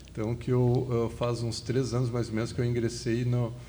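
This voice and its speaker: In a room with audible echo, a man speaks at a moderate pace with a medium pitch and a dark, mellow, somewhat breathy tone. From southern Brazil, Porto Alegre. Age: 50s. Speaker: fertility doctor and medical lecturer. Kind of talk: podcast interview.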